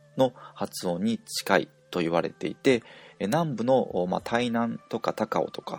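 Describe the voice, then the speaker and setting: Recorded with a dry, close sound and no echo, a man has an unremarkable speaking voice. He talks at a fairly slow pace. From Japan. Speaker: language teacher. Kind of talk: tutorial.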